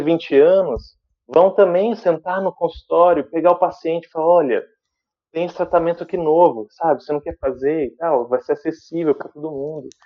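The speaker is a man. His pitch is high for a man. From Brazil, interior of São Paulo state (Sumaré). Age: 20s. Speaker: dentist and researcher. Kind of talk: interview. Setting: remote video link from London.

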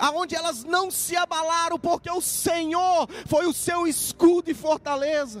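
Over noticeable background noise, a man speaks very slowly at an extremely high pitch with ordinary pitch variation. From Minas Gerais interior, Brazil. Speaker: pastor. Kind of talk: prayer; sermon.

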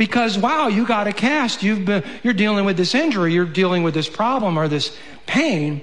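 The voice has lively intonation, a moderate pace and very even loudness. Noticeable background noise is present. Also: man, high pitch for a man. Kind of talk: sermon. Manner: intense, impassioned, voicing vengeful bitterness in a mocking, biting tone.

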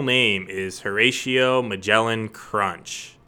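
On a very clean recording with a silent background, a man at medium pitch speaks in a bright, sharp tone with ordinary pitch variation. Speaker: guest, friend of host. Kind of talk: casual chat.

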